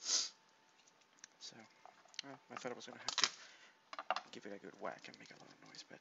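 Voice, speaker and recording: Over noticeable background noise, a soft-spoken man talks in a relaxed tone. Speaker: home cook and ASMR creator. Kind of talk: casual talk to camera, cooking demonstration. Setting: home kitchen, laptop recording. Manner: soft-spoken, relaxed.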